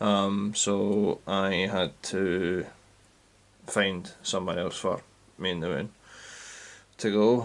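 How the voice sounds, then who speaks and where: Speaking very slowly, a man talks in a flat monotone and stops often for long pauses. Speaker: scale model hobbyist youtuber. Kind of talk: casual vlog talk. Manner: hesitant, many ums.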